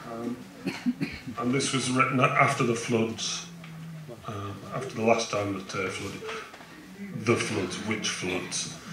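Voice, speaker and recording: Amid noticeable background noise and audible room echo, a man speaks very slowly with ordinary pitch variation and long, frequent pauses. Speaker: poet. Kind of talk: casual talk to audience. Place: tent.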